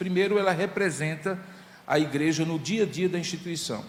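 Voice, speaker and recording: Speaking at a moderate pace with a Paraíba accent, a man shows ordinary pitch variation against noticeable background noise and audible room echo. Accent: Northeastern Brazilian (Paraíba). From Paraíba, Brazilian Northeast. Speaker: pastor. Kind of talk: sermon.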